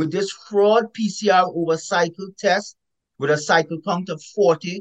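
A man with a Caribbean accent speaks at a fairly slow pace in a high voice with ordinary pitch variation. The sound is dry and close, with no echo. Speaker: epidemiologist author. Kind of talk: interview. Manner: emphatic.

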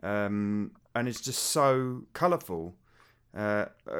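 A man with a British accent. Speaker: game music podcaster. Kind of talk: casual chat.

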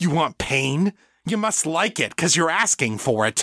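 In a put-on character voice, a man growls at a fairly high pitch with a bright, sharp tone and big pitch swings, recorded dry and close with no echo. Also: fairly slow pace, very clean recording, silent background.

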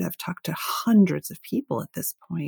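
A woman speaks with vocal fry at a moderate pace. The sound is dry and close, with no echo. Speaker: author and podcaster. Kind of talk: casual interview chat. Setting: video call. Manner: anxious, self-conscious.

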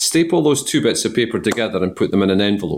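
A man races along at a very fast pace with lively intonation. The recording is very clean, with a silent background. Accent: Scottish. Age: 50s. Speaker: entrepreneur. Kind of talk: interview. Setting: garden party.

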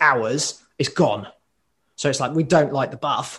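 In a quiet background, a man with a British accent speaks at a moderate pace and a fairly high pitch. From UK. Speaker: occupational therapist and graffiti writer. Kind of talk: casual interview.

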